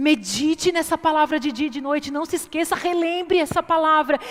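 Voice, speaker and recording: Noticeable background noise sits behind a woman speaking in an animated tone. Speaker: preacher. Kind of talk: sermon.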